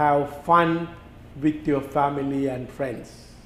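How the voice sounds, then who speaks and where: Over music in the background and with audible room echo, a man speaks very slowly at a fairly high pitch with fairly even intonation. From Sri Lanka. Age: 70s. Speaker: doctor. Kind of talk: interview. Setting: studio.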